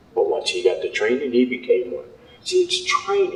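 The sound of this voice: At a moderate pace, a man with a medium pitch speaks with very wide pitch swings.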